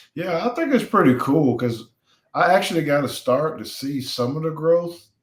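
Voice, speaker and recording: With an American accent and a normal speaking voice, a man talks at a moderate pace, his fairly high pitch carrying lively intonation. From US South (Alabama). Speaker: retired NFL player. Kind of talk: interview.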